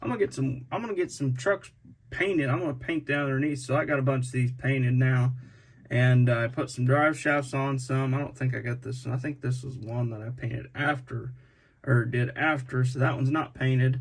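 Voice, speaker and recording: A man at a medium pitch talks fairly quickly in a somewhat breathy voice with fairly even intonation. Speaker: scale model truck builder, YouTuber. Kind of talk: casual video commentary. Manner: halting, repeats words.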